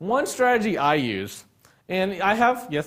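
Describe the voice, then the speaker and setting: Man's voice with very wide pitch swings on a very clean recording, silent background. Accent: American. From Texas, Dallas area. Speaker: sports and wedding photographer. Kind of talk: live workshop lecture with studio audience. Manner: casual, conversational.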